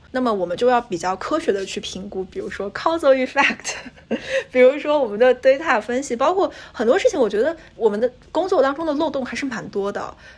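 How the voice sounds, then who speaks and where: There is noticeable background noise behind this speaker. A woman talks at a fairly quick pace. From China. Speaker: graduate student and NGO intern. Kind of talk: casual chat.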